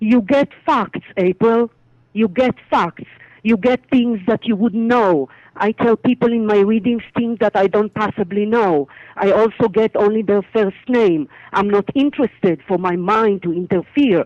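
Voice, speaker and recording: In an Israeli accent, a woman speaks at a fairly slow pace and a fairly high pitch, her loudness very even, recorded with a dry, close sound and no echo. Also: ordinary pitch variation. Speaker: psychic medium. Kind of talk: interview.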